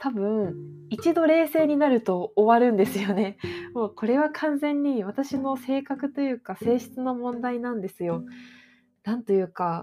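This woman's pitch is high and her intonation lively. She talks at a fairly slow pace. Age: 20s. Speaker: podcast host, freelance anime industry worker. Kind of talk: casual solo talk.

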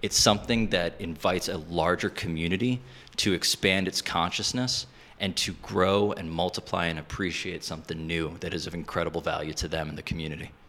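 Talking at a fairly quick pace, a man has a very deep, low pitch and a bright, sharp tone. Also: ordinary pitch variation. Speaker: creative entrepreneur. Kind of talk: interview chat. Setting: radio studio.

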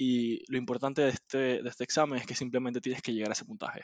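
A man at a very fast pace, medium in pitch, with fairly even intonation. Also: quiet background. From Panama. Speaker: podcast co-host. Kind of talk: casual chat.

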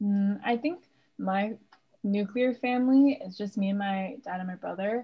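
A woman with a medium pitch and ordinary pitch variation talks at a moderate pace, her voice somewhat breathy. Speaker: student podcast host. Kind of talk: casual chat.

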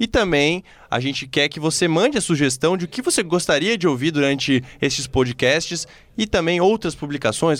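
An ordinary speaking voice at a moderate pace, with lively intonation, on a very clean recording with a silent background. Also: man, fairly high pitch for a man. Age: 20s. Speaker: sports journalist, podcast host. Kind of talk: casual football podcast chat.

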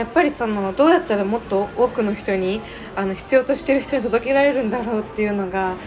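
Over noticeable background noise, the voice races along very fast with lively intonation. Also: woman, fairly high pitch for a woman. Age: 19. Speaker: high school graduate, founder of student nonprofit. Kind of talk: casual interview. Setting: cafe.

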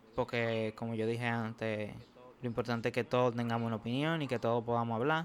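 Talking at a very fast pace, a man keeps his medium-pitched voice in fairly even intonation. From Dominican Republic, Santo Domingo. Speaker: podcast host, medical student. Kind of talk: casual chat.

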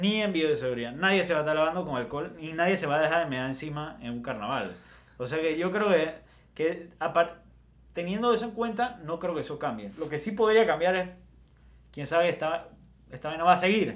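Here a man has an ordinary speaking voice, pitched fairly high. He talks at a fairly quick pace with lively intonation. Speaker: podcast co-host. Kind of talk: casual chat.

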